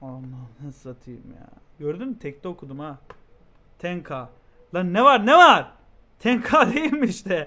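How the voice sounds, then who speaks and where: The pitch swings very widely and the loudness rises and falls a lot. Pauses are long and frequent, and the pace is fairly slow. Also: man, high pitch for a man. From Turkey. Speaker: streamer reacting to a video. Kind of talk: casual live-stream chat. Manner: animated. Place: home room. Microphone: headset.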